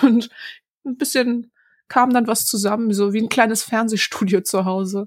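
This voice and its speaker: Recorded very cleanly against a silent background, a woman with an unremarkable speaking voice talks at a moderate pace, fairly high in pitch with fairly even intonation. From Berlin-Neukölln, Germany. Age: 20s. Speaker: stand-up comedian. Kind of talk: interview.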